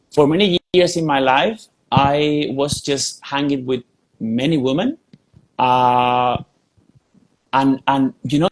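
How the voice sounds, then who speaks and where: A man's fairly high voice, very slow with long, frequent pauses and ordinary pitch variation, in a dry, close sound with no echo. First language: Spanish. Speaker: spiritual teacher. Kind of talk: podcast interview. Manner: repetitive, emphatic.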